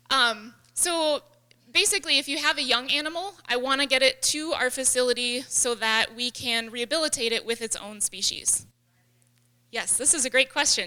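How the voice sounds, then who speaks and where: A woman speaks in a high, bright, sharp voice. She projects it, raised and carrying. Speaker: wildlife rehabilitator. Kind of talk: lecture. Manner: fast.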